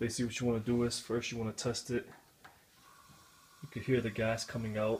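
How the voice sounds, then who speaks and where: Over light background noise, a man speaks somewhat breathily at a fairly quick pace. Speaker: home repair demonstrator. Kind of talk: tutorial. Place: kitchen. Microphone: phone near.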